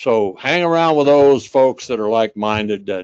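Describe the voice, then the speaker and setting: Very wide pitch swings run through a man's voice in a dry, close recording with no echo. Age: 80s+. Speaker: war veteran. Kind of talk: keynote speech. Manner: halting.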